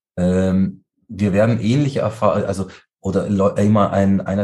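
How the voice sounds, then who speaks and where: Pitch moves with ordinary variation. Its tone comes across dark and mellow. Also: man. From Munich, Bavaria (Turkish family). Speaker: interfaith community organizer. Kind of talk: interview.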